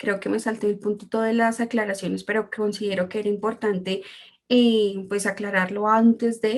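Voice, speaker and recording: A woman speaks with a Colombian accent. The recording is very clean, with a silent background. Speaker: translator and interpreter. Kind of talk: presentation talk. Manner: hesitant, many fillers.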